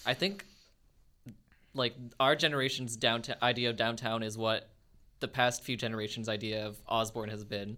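In a Canadian accent, a man talks at a medium pitch with a bright, sharp tone and fairly even intonation. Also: moderate pace. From Winnipeg, Canada. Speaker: student podcast co-host. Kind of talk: casual chat. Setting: studio.

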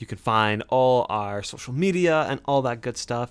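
Using a plain, everyday voice, a man with a medium pitch speaks at a fairly slow pace on a very clean recording with a silent background. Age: 20s. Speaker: podcast host. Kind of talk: casual chat.

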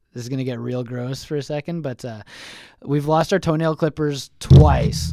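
Loudness swings widely while the intonation stays lively at a moderate pace. The sound is dry and close, with no echo. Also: man, medium pitch for a man. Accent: Manitoban. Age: 30s. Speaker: sports podcast host. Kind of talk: casual chat.

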